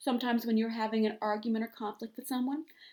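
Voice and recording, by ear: The speaker is reading aloud in a natural voice, keeping the intonation fairly even.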